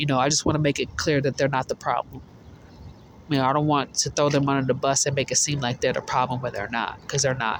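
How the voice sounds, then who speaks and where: Monotone, flat intonation at a very fast pace. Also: man, fairly high pitch for a man. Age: 20s. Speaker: vlogger sharing personal testimony. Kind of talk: personal testimony monologue. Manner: halting, repeats words.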